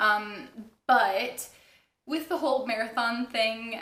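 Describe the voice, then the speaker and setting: A woman speaks with a fairly high pitch and lively intonation. Some room echo can be heard. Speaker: knitting podcaster. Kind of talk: casual chat.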